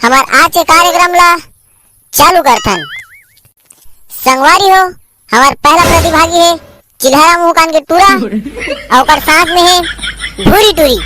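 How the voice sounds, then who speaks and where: Putting on a cartoonish character voice, a woman speaks at an extremely high pitch and a moderate pace, with lively intonation and long, frequent pauses. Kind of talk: stage announcer. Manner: loud, showy.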